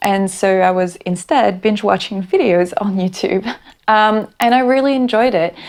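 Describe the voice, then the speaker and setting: A woman's medium-pitched voice in a French accent, with ordinary pitch variation, on a very clean recording with a silent background. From France. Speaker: booktuber. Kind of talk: casual vlog monologue.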